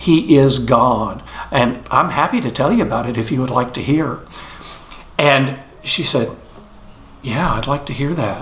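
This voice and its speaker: A man with an American accent and a medium pitch talks at a moderate pace with ordinary pitch variation and long, frequent pauses, amid audible room echo and noticeable background noise. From Texas, Fort Worth. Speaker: near-death experience witness. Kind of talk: testimony. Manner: hesitant, with many fillers.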